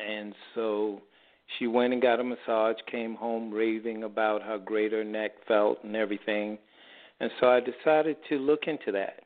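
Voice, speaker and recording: This is a man with an ordinary speaking voice at a medium pitch. He keeps a moderate pace and fairly even intonation. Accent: American. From New York City. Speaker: holistic health practitioner. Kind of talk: radio interview answering health questions. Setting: radio show with phone-in callers. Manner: conversational, explanatory.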